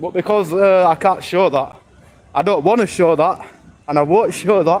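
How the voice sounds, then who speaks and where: A man with a British accent speaks loudly at a moderate pace. His voice is high-pitched for a man, with ordinary pitch variation. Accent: British accent, remarked on by viewer. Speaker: IRL streamer. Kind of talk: live stream walking commentary. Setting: outdoors, walking city streets.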